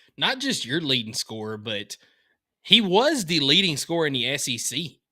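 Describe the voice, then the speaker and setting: A man with a Southern US accent talks at a fairly quick pace, his fairly high voice bright and sharp in tone, with very wide pitch swings. The recording is very clean, with a silent background. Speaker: sports podcast co-host. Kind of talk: casual chat.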